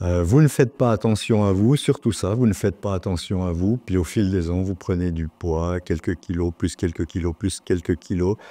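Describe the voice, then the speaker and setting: A dark, mellow voice moves at a moderate pace with hardly any pauses and ordinary pitch variation over a quiet background. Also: man, very deep, low pitch for a man. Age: 60s. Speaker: retired journalist, patient. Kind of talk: interview testimony. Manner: hesitant, with fillers.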